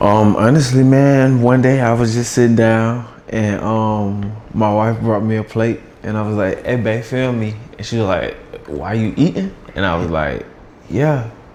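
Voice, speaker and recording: A man speaks in a room with audible echo. Noticeable noise sits in the background. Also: medium pitch for a man, ordinary pitch variation, moderate pace. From US South, Atlanta. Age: 30s. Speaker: content creator. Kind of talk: casual interview.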